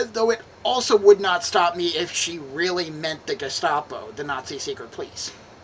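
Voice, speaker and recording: Amid noticeable background noise, a woman with a fairly low voice speaks at a moderate pace with lively intonation. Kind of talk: dramatic reading of a letter.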